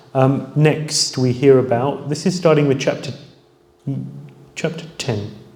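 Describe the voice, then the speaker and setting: Long, frequent pauses break up a man's fairly slow, fairly even delivery, his fairly high pitch carried by audible room echo. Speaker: spiritual teacher. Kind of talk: lecture.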